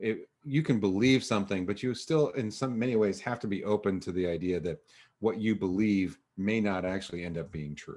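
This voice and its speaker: The speech comes at a fairly quick pace with ordinary pitch variation. The background is quiet. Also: man, fairly low pitch for a man. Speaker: educator giving a presentation on news literacy. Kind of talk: online presentation with Q&A. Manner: fast; halting, many fillers.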